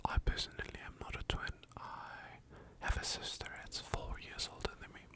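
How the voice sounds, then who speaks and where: Someone whispers at a very slow pace. Noticeable background noise runs behind the voice. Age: 18. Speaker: ASMR creator. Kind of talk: ASMR whispering. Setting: at a desk at home. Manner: whispering.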